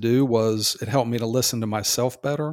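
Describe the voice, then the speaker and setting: The man's intonation stays fairly even. The recording is very clean, with a silent background. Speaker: religious podcast co-host. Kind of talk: bible study conversation. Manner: fast talker.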